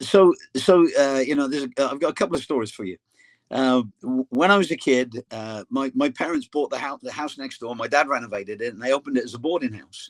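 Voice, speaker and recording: A man with an English accent talks at a very fast pace in a fairly high pitch, with ordinary pitch variation, big swings in loudness, and a dry, close sound with no echo. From England. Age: 60s. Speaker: soccer coach. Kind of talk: casual interview.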